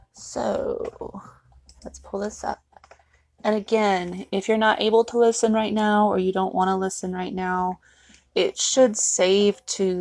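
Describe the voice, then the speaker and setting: This woman has a Southern US accent and a medium pitch. Her intonation is fairly even. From US South. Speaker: author reading own book. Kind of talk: casual live stream chat. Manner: fast.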